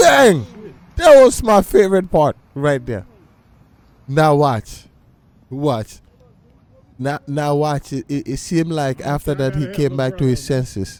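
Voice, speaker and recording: Animated and fairly slow, a man speaks at a fairly high pitch with ordinary pitch variation and long, frequent pauses. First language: not English. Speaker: reaction video host. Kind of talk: casual commentary. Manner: halting, repeats words.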